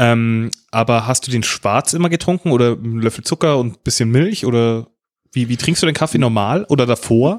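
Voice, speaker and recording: A man uses a normal speaking voice at a medium pitch, a moderate pace and ordinary pitch variation. The recording is very clean and dry, with a close sound, no echo and a silent background. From Bavaria. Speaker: podcast co-host. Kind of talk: casual chat.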